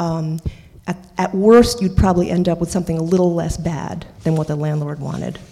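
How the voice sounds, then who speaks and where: A woman with an American accent and a fairly low pitch talks at a fairly quick pace with fairly even intonation, and there is noticeable background noise. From New York City (Washington Heights). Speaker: painter and housing activist. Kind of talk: panel discussion.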